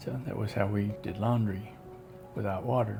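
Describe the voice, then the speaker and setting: A man with an Appalachian accent and a fairly low pitch speaks at a very fast pace, with audible room echo and noticeable background noise. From West Virginia. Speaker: storyteller. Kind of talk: casual storytelling.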